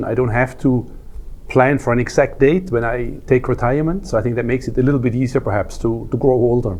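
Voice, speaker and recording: The words come at a very fast pace with ordinary pitch variation. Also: man. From Switzerland. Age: 60s. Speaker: wealth manager and football coach. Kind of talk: interview. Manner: hesitant, with fillers and repetitions.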